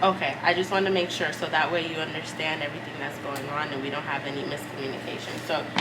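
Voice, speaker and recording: Speech comes at a very fast pace with hardly any pauses and fairly even intonation. Noticeable background noise and audible room echo are present. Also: woman, very deep, low pitch for a woman. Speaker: elementary school teacher. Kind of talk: vlog; phone call with parent.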